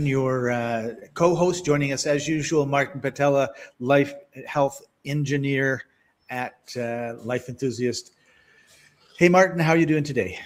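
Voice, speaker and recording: Talking at a fairly slow pace with long, frequent pauses, a man with a fairly high pitch shows ordinary pitch variation. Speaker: podcast co-host. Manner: smooth, polished delivery.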